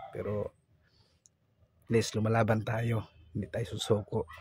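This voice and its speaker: A man's somewhat breathy, fairly low voice at a moderate pace, in monotone, flat intonation. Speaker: vlogger. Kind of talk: vlog voice-over. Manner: casual.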